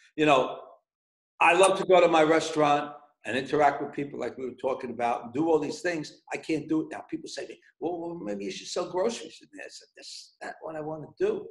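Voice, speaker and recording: A man speaks at a very fast pace in a New York accent. His pitch is fairly high, and his loudness swings widely. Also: ordinary pitch variation. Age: 60s. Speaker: pizzeria owner. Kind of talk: casual interview. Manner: repeats words, stammering starts.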